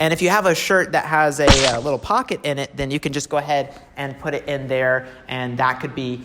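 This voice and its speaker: Fairly quick speech with hardly any pauses and ordinary pitch variation, over noticeable background noise. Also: man. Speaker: video tutorial host. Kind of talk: tutorial.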